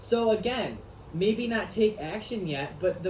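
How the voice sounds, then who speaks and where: Noticeable background noise and audible room echo surround a man speaking in an animated tone. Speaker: wellness video host. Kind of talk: casual chat.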